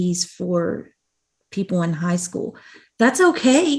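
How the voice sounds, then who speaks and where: A woman speaks at a very slow pace and a medium pitch. Her voice is somewhat breathy. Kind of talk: conference talk. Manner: animated.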